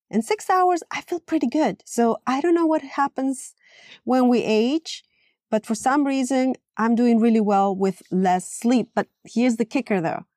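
With a Latin American accent, a woman speaks fairly slowly in a high-pitched, dark, mellow tone with lively intonation and a dry, close sound with no echo. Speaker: podcast host, yoga teacher.

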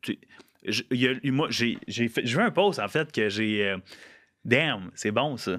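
Against a very clean recording with a silent background, a man with a medium pitch speaks at a very slow pace, using lively intonation and long, frequent pauses. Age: 20s. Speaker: podcast host. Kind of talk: casual interview. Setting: studio.

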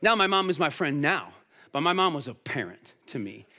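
A man projects a raised voice with a bright, sharp tone and lively intonation on a very clean recording with a silent background. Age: 40s. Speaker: pastor. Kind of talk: sermon. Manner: animated.

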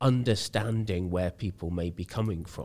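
A man speaks with an English accent at a very deep, low pitch. His intonation is fairly even. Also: very clean recording, silent background. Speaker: charity worker with cystic fibrosis.

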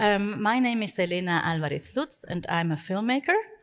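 With very wide pitch swings, a woman's voice sits fairly high in pitch. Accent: German. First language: German. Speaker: festival moderator and filmmaker. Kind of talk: interview. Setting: stage with audience.

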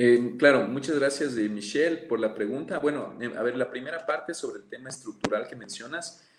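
A man speaks at a moderate pace with hardly any pauses, his loudness swinging widely. Background noise is noticeable. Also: medium pitch for a man, ordinary pitch variation. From Ecuador, Amazon region (Pastaza). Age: 30s. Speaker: politician. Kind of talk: interview.

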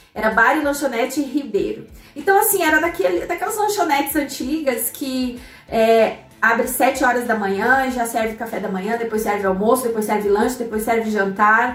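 A woman talks at a moderate pace with a high pitch and lively intonation. Audible room echo and noticeable background noise surround her voice. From Santa Catarina highlands, southern Brazil (Curitibanos). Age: 30s. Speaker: economist and finance blogger, podcast host. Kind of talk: personal storytelling monologue; motivational talk.

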